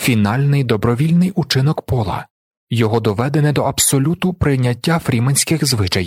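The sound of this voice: An unforced reading voice set against a quiet background.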